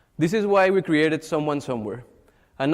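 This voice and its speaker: A man speaks very fast with a Mexican accent, his pitch fairly high with ordinary variation. The background is quiet. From Mexico. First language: Spanish. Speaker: social entrepreneur. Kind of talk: pitch presentation.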